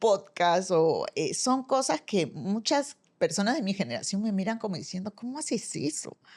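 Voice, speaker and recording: A woman's normal speaking voice at medium pitch, lively intonation, and a dry, close sound with no echo. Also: very clean recording, silent background. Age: 60s. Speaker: former university rector, business school director. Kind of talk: podcast interview conversation.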